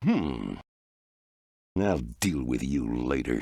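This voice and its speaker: A man growls in a put-on character voice at a very deep, low pitch. His pitch varies in an ordinary way. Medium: video game. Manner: menacing, sarcastic.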